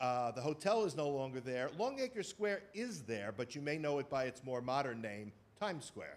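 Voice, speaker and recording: A man with a New York accent talks at a moderate pace, his fairly high voice carrying lively intonation. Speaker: theater presenter. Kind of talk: lecture to live audience. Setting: stage with audience. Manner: hesitant, many fillers.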